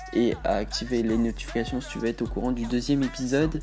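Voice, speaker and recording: Music plays in the background while a man speaks fairly quickly. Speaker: YouTuber. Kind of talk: video commentary. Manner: stuttering, many hesitations.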